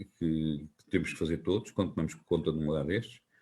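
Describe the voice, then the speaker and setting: The man's voice has a dark, mellow tone. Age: 60s. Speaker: local politician and teacher. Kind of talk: interview. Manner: halting, with fillers and restarts.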